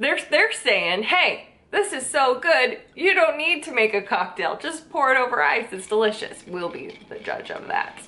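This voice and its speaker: A woman speaks in a raised, projected voice at a moderate pace. Her pitch swings very widely. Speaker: drink vlogger. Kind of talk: casual vlog chat. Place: home room.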